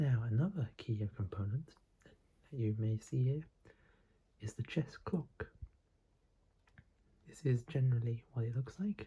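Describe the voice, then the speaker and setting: A soft-spoken man whispers in a somewhat breathy voice. He talks at a fairly slow pace with long, frequent pauses. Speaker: chess teacher / ASMR creator. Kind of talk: ASMR chess lesson, whispered teaching. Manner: whispered, soft-spoken, slow.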